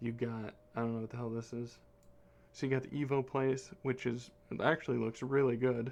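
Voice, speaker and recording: Speaking at a fairly quick pace, a man holds a medium pitch. His intonation stays flat and monotone. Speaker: gaming YouTuber. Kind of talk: game commentary. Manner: fast; casual, rambling.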